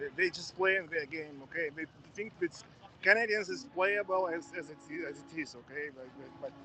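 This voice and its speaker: Over noticeable background noise, a man with a strong Russian accent speaks at a high pitch, his loudness swinging widely. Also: ordinary pitch variation, moderate pace. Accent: thick Russian. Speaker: protest supporter. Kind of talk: street interview.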